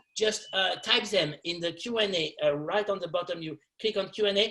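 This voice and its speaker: Bright and sharp in tone, a man with a French accent speaks at a moderate pace. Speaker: film journalist moderating panel. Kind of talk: panel moderation. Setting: webinar video call. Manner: halting.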